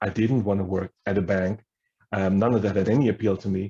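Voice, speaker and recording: The voice has a dark, mellow tone, somewhat breathy, at a moderate pace. The sound is dry and close, with no echo. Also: man. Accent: German. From Germany. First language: German. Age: 50s. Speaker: history professor. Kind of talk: workshop talk.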